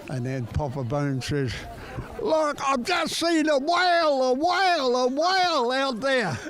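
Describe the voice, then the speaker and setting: Talking fairly slowly, a man is heard through audible room echo and noticeable background noise. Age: 80s+. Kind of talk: casual chat. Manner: animated.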